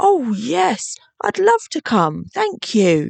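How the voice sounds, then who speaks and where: Someone talks at a very slow pace in a put-on character voice. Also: female-sounding voice, fairly high pitch for a woman. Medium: read story. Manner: gentle and modest.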